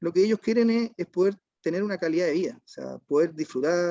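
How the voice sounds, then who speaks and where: With a Chilean accent and a dark, mellow tone, the voice moves at a moderate pace with ordinary pitch variation, the sound dry and close with no echo. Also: man. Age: 40s. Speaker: waste management business owner. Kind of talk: online panel discussion. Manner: halting, many repetitions and fillers.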